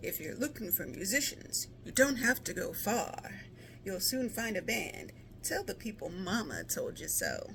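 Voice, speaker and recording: Someone speaks in a put-on character voice at a moderate pace, with clear background noise behind it. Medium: read story.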